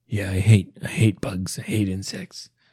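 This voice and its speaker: The sound is dry and close with no echo as a man talks fairly slowly in a somewhat breathy voice with a dark, mellow tone. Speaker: podcast co-host. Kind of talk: casual chat.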